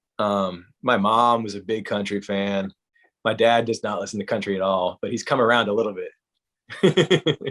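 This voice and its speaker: With an American accent and a plain, everyday voice, a man speaks at a medium pitch and a moderate pace, his pitch varying in an ordinary way. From US South, South Carolina. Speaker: country musician. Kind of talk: interview. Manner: casual, conversational.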